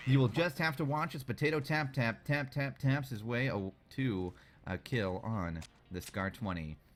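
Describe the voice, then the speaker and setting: Very clean recording with a silent background, featuring a man's unremarkable speaking voice at medium pitch, with lively intonation and a moderate pace. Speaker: esports shoutcaster. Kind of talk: game shoutcasting commentary.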